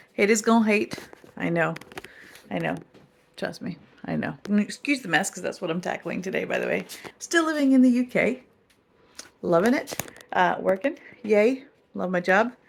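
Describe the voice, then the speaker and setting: Speaking at a moderate pace, a woman uses lively intonation at a medium pitch and takes long, frequent pauses. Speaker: vlogger. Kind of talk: casual vlog talk.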